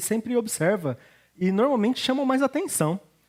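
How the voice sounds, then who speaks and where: Lively intonation carries a moderately paced delivery. A silent background leaves the recording very clean. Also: man. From Brazil, Curitiba then São Paulo state. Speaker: pastor. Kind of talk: sermon.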